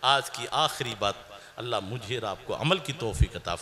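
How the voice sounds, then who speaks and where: A man's pitch swings very widely as noticeable background noise plays behind him. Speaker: Islamic cleric. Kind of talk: religious sermon.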